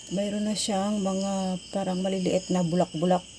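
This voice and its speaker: At a moderate pace, a woman speaks in a medium-pitched, dark, mellow tone that is somewhat breathy. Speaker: cooking vlogger. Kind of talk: casual vlog narration.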